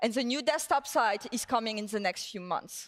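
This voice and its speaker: Moderately paced speech from a woman, with lively intonation. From southern France. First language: French. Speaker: tech executive. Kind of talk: conference keynote.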